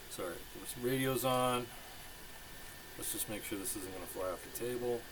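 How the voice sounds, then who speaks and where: A man mumbles at a moderate pace, with a medium pitch and ordinary pitch variation. Audible room echo and noticeable background noise are present. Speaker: RC hobbyist video maker. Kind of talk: casual hands-on tutorial. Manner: mumbling. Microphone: poor microphone.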